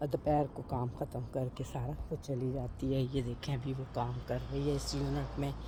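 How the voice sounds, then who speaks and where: A woman talks at a fairly slow pace with hardly any pauses. The room echo is audible, and background noise is noticeable. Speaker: vlogger. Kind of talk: casual vlog talk. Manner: hesitant, many fillers.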